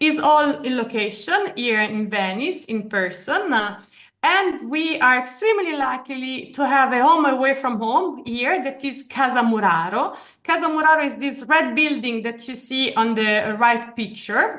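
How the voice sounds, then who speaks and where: A woman with a high pitch speaks with lively intonation at a fairly slow pace. Room echo is audible. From Italy. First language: Italian. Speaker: study abroad program director. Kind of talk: information session presentation. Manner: halting, many fillers.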